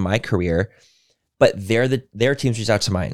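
A very clean recording with a silent background captures a man speaking. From Mexican-American. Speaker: podcast co-host, beauty influencer. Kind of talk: casual chat.

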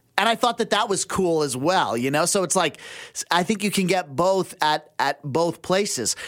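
A man's high pitch and lively intonation, with very even loudness. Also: moderate pace. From western Canada (Abbotsford, British Columbia). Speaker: radio contributor. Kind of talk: casual chat. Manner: halting, many fillers and restarts.

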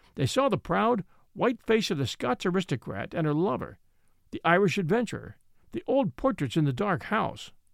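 A man's high-pitched, dramatic voice with very wide pitch swings, dry and close with no echo, in a very clean recording against a silent background. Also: moderate pace. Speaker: audiobook narrator and podcast host. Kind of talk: literary audiobook reading, scripted narration of a detective story. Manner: measured, dramatic storyteller pacing with suspenseful emphasis; formal, clear, shifts to character voices in dialogue.

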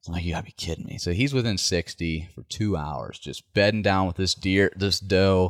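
A man with an American accent and a very deep, low pitch speaks at a moderate pace with ordinary pitch variation, on a very clean recording with a silent background and a dry, close sound with no echo. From West Virginia. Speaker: deer hunter. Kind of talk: casual chat.

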